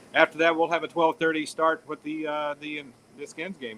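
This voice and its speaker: A man talks at a fairly quick pace with a fairly high pitch. His tone is bright and sharp. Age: 60s. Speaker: professional golfer. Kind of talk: casual interview chat. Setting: outdoors on location. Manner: halting, many fillers.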